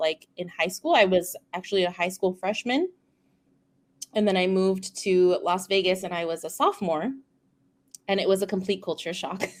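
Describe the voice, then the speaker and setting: Fairly even intonation in a woman's voice of medium pitch. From California, King City (rural Central Coast). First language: Spanish. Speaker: speech-language pathologist. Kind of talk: casual interview chat.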